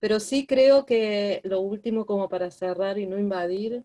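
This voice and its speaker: A woman speaks very slowly at a medium pitch with ordinary pitch variation. Her tone is dark and mellow. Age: 60s. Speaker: therapeutic companion (student participant). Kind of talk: online class discussion.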